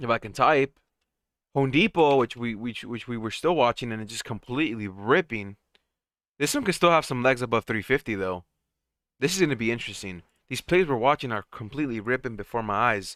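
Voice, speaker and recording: A man with an ordinary speaking voice, medium pitch and lively intonation at a fairly quick pace, in a very clean recording with a silent background and a dry, close sound with no echo. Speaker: stock trading streamer. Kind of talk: live stream commentary.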